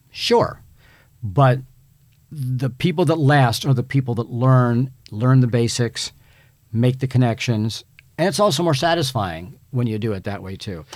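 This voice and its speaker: A man with a normal speaking voice and an American accent talks at a fairly slow pace, his pitch medium and his intonation lively. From Virginia, Hampton Roads area. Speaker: talent agency executive. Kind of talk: casual chat. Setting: studio.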